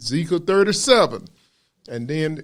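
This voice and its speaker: A man with a Southern US accent speaks at a moderate pace with lively intonation, recorded very cleanly against a silent background. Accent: Southern US (Georgia). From US South, Macon, Georgia. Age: 70s. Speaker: preacher. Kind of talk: sermon.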